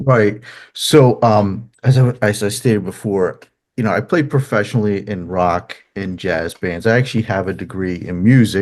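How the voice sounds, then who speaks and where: In a strong New Jersey accent, a man talks at a moderate pace with a fairly low pitch. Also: ordinary pitch variation. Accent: thick New Jersey. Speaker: musician and therapist. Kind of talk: interview. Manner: halting, many fillers.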